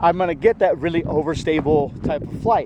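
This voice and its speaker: A man with a high pitch is shouting loudly at a moderate pace with ordinary pitch variation, over noticeable background noise. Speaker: disc golf reviewer. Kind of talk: product review while throwing. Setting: outdoors in strong wind. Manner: loud, yelling over wind. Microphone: poor audio from wind.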